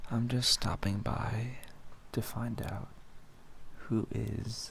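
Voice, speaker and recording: The voice is soft-spoken. Its tone is soothing. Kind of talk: ASMR affirmation role-play, soft-spoken petting talk. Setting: studio. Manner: soft-spoken, soothing.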